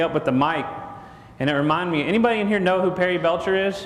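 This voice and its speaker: A man speaks loudly in a Texan accent with ordinary pitch variation. Noticeable background noise and audible room echo surround him. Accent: Texan Southern. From Texas. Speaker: marketing speaker. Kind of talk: conference talk. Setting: stage with audience. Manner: casual, joking.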